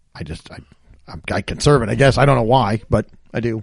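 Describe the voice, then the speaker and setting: With an unremarkable speaking voice, a man talks at a medium pitch with lively intonation. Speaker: podcast co-host.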